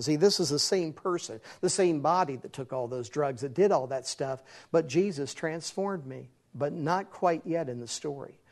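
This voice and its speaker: Against a quiet background, a man talks in a normal speaking voice at a moderate pace with ordinary pitch variation. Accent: American. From West Virginia. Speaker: evangelist, former rock musician. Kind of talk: testimony.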